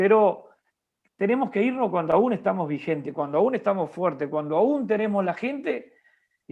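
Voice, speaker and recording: Speaking at a moderate pace, a high-pitched man uses lively intonation. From Uruguay. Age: 50s. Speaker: bishop and pastor. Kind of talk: interview.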